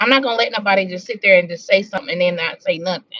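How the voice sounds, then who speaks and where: A woman's medium-pitched voice with a Southern US accent, at a very fast pace. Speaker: drama commentary youtuber. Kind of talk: casual live-stream chat.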